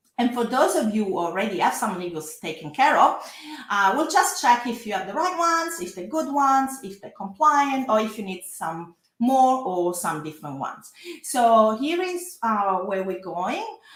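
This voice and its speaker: A woman with a strong Italian accent speaks at a fairly high pitch and a moderate pace, with very wide pitch swings and big swings in loudness. Room echo is audible. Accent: thick Italian. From Italy. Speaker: lawyer. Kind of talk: webinar presentation. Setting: live online workshop. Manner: frequent hesitations.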